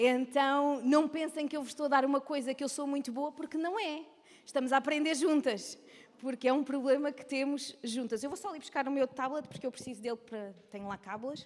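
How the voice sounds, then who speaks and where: A woman talks in a European Portuguese accent with a high pitch. Her tone is animated, and her loudness swings widely. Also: ordinary pitch variation, fairly quick pace. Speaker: women's ministry speaker. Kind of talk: lecture. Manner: fast.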